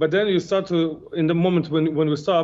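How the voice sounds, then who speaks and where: Using a non-native accent, a man speaks at a moderate pace with a high pitch and fairly even intonation. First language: not English. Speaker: kickboxer. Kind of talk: interview. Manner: halting.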